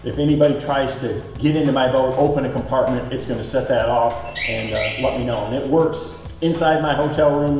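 A man talks at a moderate pace with fairly even intonation. Audible room echo and faint background music surround his voice. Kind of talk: product tour walkthrough. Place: garage.

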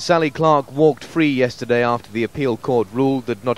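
A man speaks at a medium pitch and a moderate pace, with ordinary pitch variation. Noticeable background noise runs under his voice. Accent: British. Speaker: news reporter. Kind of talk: news report.

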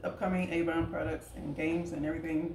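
Noticeable background noise sits under a woman's fairly low voice. She moves at a fairly quick pace with ordinary pitch variation. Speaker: direct sales representative. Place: kitchen. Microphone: camera far.

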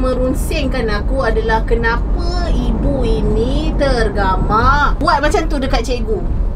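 Over loud background noise, a woman talks very slowly. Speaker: co-host. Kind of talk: casual commentary on viral news. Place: car. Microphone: phone near.

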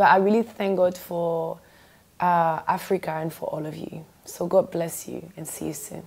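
With a French accent and vocal fry, a woman talks at a moderate pace and with fairly even intonation, though her loudness swings widely. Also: fairly low pitch for a woman. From France. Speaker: gospel singer. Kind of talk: TV interview. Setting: TV studio. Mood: warm, grateful. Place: studio. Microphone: lapel.

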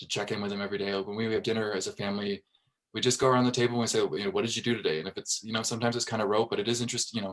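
Talking at a very fast pace, this man has an American accent. He keeps a medium pitch and fairly even intonation. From Fairfax, Virginia, US. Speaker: school board member. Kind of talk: interview.

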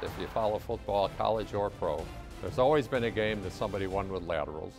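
Clear music plays behind a man with an American accent who talks very fast at a fairly low pitch with ordinary pitch variation. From United States. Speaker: veteran college football radio play-by-play announcer. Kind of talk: interview answer, reflective reminiscing. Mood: warm, nostalgic. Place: office. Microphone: lapel.

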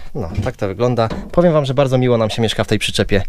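A man talks at a very fast pace. The sound is dry with no echo, and there is light background noise. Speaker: family travel vlogger. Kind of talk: casual vlog chat. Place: home room. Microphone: phone near.

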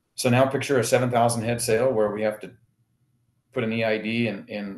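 Speaking at a moderate pace with monotone, flat intonation, a man with an American accent is heard with audible room echo. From Jordan Valley, Oregon / Owyhee County, Idaho; Oregon. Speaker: rancher and livestock auction owner; guest. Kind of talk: casual chat. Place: office. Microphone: video call.

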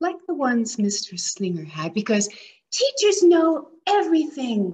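A woman's animated, playful, somewhat breathy voice, with very wide pitch swings at a fairly slow pace. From Alberta, Canada. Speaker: storyteller, retired teacher. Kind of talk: storytelling, reading a children's picture book aloud. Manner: animated, playful, expressive. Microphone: webcam.

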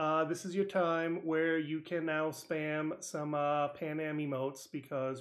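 Speaking at a fairly slow pace with an American accent, this is an ordinary speaking voice. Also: man. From New England (Connecticut). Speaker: podcast host. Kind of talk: interview.

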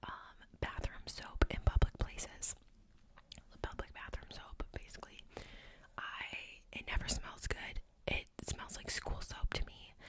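Whispering and soft-spoken, a woman talks at a fairly slow pace with long, frequent pauses amid noticeable background noise. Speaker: podcaster or vlogger. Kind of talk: casual vlog chat. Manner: close-mic soft ASMR whisper. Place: home room. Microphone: studio mic.

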